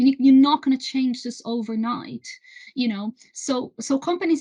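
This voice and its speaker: A woman with a Brazilian accent and a high pitch speaks with fairly even intonation, recorded with a dry, close sound and no echo. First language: Portuguese. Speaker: renewable energy trade association executive. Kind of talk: interview. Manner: halting, many repetitions.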